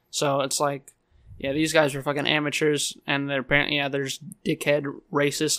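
A man with a fairly high voice speaks at a moderate pace in a bright, sharp tone and flat, monotone intonation. The recording is very clean, with a silent background. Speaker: podcast co-host and streamer. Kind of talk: casual chat. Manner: casual, uses 'you know' a lot.

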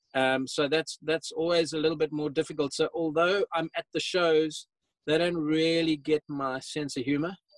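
Flat and monotone, a man's fairly high voice comes through a dry, close sound with no echo. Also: moderate pace. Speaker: off-road equipment company representative. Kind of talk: casual chat.

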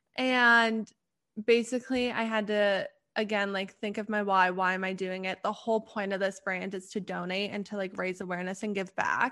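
Against a quiet background, a woman of medium pitch speaks at a moderate pace in a bright, sharp tone with monotone, flat intonation. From western Canada. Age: 20s. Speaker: graduate student and clothing brand owner. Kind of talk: casual chat.

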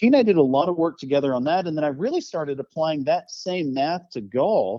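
Speaking at a fairly quick pace, a man with a fairly high pitch and lively intonation has an unremarkable speaking voice. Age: 40s. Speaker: golf strategy coach and amateur golfer. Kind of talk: interview.

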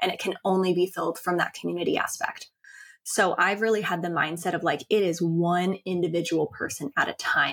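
A woman in a normal speaking voice, fairly low in pitch with fairly even intonation, at a fairly quick pace in a dry, close sound with no echo. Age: 30s. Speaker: podcast host and founder of a women's empowerment brand. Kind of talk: interview.

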